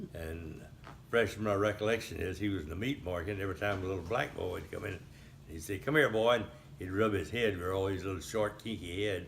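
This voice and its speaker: A man with an American accent talks at a very fast pace, somewhat breathy. His fairly low pitch has ordinary variation, and audible room echo surrounds him. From Texas, Highlands near Houston. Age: 80s+. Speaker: elderly local resident recounting town history. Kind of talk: oral history interview. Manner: halting, with frequent fillers.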